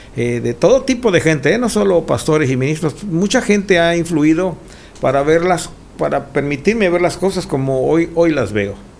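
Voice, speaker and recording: Against noticeable background noise, a man with a fairly high pitch and very wide pitch swings talks at a moderate pace. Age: 60s. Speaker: pastor. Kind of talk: casual chat.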